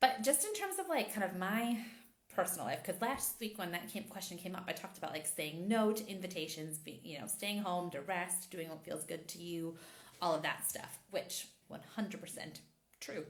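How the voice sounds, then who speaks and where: A woman's medium-pitched voice with ordinary pitch variation at a moderate pace, with audible room echo. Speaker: intimacy and empowerment coach. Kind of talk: casual chat.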